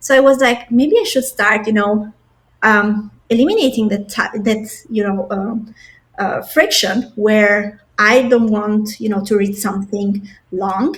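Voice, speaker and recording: A somewhat breathy woman speaks at a fairly slow pace with fairly even intonation. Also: fairly high pitch for a woman. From Albania. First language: non-English. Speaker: product designer. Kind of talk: podcast interview.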